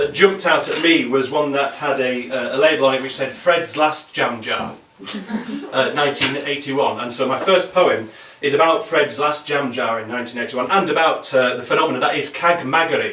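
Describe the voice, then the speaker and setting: There is noticeable background noise as a man speaks. His voice is fairly high, with ordinary pitch variation. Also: fairly quick pace. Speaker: poet. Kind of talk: introducing poems to a live audience.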